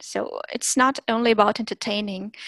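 In a Russian accent, a woman talks at a moderate pace and fairly high pitch with fairly even intonation, the sound dry and close with no echo. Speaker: language teacher and content creator. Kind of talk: interview.

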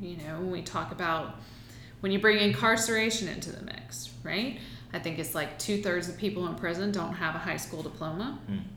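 There is noticeable background noise and audible room echo. Through them, a woman speaks at a fairly low pitch. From US South, Aiken, South Carolina. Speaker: political candidate. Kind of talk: interview.

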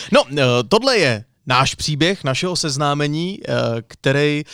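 On a very clean recording with a silent background, a man has an ordinary speaking voice at a fairly high pitch with ordinary pitch variation. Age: 30s. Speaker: radio presenter and podcast co-host. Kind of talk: casual chat.

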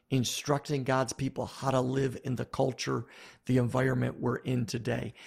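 The voice carries an American accent with vocal fry. Its intonation is flat and monotone. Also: man, medium pitch for a man, moderate pace. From US Northeast, Buffalo, New York. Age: 50s. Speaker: pastor and author. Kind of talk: interview.

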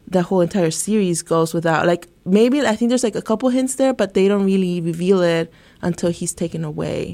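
A woman speaks at a moderate pace in an ordinary speaking voice, her fairly low pitch moving with ordinary variation. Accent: American. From Santa Ana, California. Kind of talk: casual academic discussion. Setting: studio.

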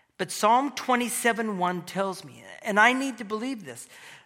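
A man's bright, sharp tone at a fairly slow pace, with audible room echo. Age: 50s. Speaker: pastor and church elder. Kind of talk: sermon.

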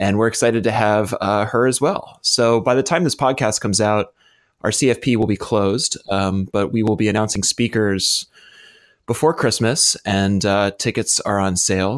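A man's normal speaking voice, fairly low in pitch, with very even loudness, ordinary pitch variation and a moderate pace, on a very clean recording with a silent background. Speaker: podcast co-host.

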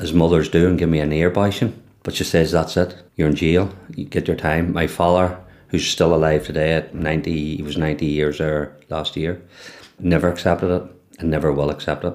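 In a Northern Irish accent, the speaker talks at a fairly quick pace in a monotone, flat intonation, on a very clean recording with a silent background. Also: man. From Northern Ireland. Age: 60s. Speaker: former loyalist prisoner and community worker. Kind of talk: oral history testimony.

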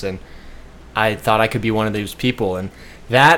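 A man with a Midwestern accent talks with fairly even intonation. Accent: US Midwest (Ohio). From Ohio, Cleveland. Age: 20s. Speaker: surfer and amputee sharing illness recovery. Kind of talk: casual interview. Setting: in a house.

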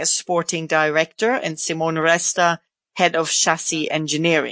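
A woman speaks with a German accent. The background is quiet. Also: dry, close sound with no echo. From Germany. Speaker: motorsport podcast host. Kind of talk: casual interview.

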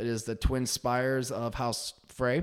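A man speaks in a monotone with flat intonation. His pitch is medium and his pace fairly slow. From northern Michigan. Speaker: tax accountant. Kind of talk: casual chat.

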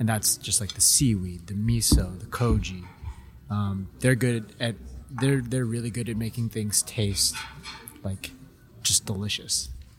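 A man with an American accent speaks at a fairly low pitch, with ordinary variation in tone. He leaves long, frequent pauses, and noticeable background noise runs underneath. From Los Angeles, US. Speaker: guest co-taster. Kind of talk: casual chat. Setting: live event on site.

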